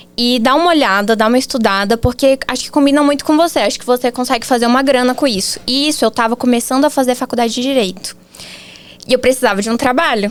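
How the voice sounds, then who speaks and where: A woman's high-pitched voice at a very fast pace, with noticeable background noise. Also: ordinary pitch variation. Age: 20s. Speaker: marketing agency founder, copywriter. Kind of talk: podcast interview.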